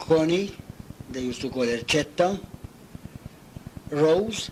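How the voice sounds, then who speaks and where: A man's fairly high-pitched voice with lively intonation at a fairly slow pace, over noticeable background noise. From Malta. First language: Maltese. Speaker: retired navy cook. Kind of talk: oral history interview. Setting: at home.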